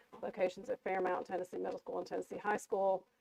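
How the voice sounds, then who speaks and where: Here a woman is speaking. The sound is dry and close, with no echo. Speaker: school superintendent. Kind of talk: board meeting report. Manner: fast.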